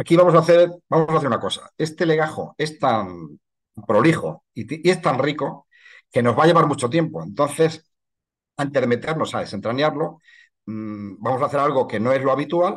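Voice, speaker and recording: A man speaks with vocal fry and ordinary pitch variation against a quiet background. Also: fairly high pitch for a man, moderate pace. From Spain, La Mancha (Ciudad Real); La Mancha, Spain. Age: 60s. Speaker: historian and heritage researcher. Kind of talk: online lecture. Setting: video call. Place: home room. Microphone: webcam.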